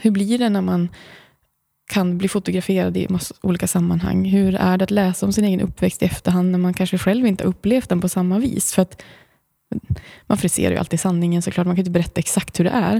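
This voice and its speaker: A woman's medium-pitched, dark, mellow voice at a very fast pace, with very even loudness, fairly even intonation and a very clean recording over a silent background. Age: 40s. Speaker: blogger and author. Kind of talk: casual interview. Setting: studio.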